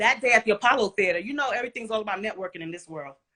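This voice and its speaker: With an American accent, a woman speaks in an animated, bright, sharp tone at a fairly high pitch. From Brooklyn, New York (Flatbush). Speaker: dancer. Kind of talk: interview, casual chat.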